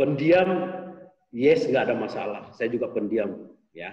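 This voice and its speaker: The speaker is a man. He talks with a Makassar accent. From Makassar, South Sulawesi, Indonesia. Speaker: sales trainer and author. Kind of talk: online course interview.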